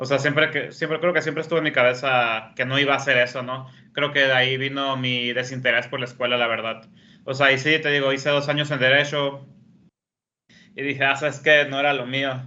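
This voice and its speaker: A man talks at a fairly quick pace in a bright, sharp tone. His fairly high voice stays monotone, with flat intonation. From northern Mexico, Hermosillo, Sonora. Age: 30s. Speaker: professional poker player. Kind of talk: interview.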